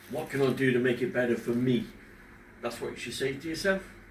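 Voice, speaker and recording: A man's medium-pitched voice with ordinary pitch variation at a fairly quick pace, plus noticeable background noise and audible room echo. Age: 50s. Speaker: father talking about depression. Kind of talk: casual personal talk to camera. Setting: at home in front of a fish tank. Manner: halting, pausing when emotional.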